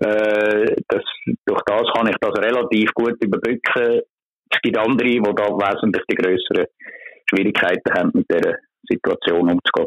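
This man speaks at a moderate pace. His loudness stays very even. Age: 60s. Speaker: street magazine vendor. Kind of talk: interview. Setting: phone call.

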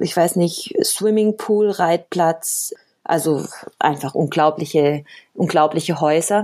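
A woman speaks at a very slow pace. Her tone is dark and mellow, with ordinary pitch variation. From Colombia (Cali) until age 10, then Germany. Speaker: professional salsa dancer and teacher. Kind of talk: casual interview chat.

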